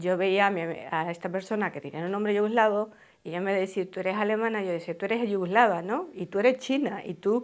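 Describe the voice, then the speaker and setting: The woman's medium-pitched voice moves at a fairly quick pace, with ordinary pitch variation. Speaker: documentary interviewee. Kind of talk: interview testimony. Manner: halting.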